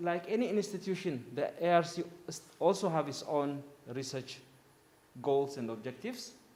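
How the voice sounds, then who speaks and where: Audible room echo surrounds a man with a high pitch. He talks at a moderate pace with lively intonation. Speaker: conference speaker from agricultural research institution. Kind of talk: conference presentation. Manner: loud.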